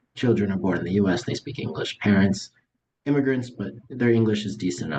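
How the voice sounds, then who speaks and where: At a very fast pace, a man with a fairly low pitch and vocal fry speaks with lively intonation. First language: Russian. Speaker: magician. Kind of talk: interview.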